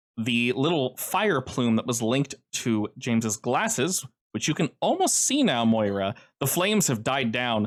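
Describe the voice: Behind the speaker, things stay quiet. The text is simply read aloud in a plain way.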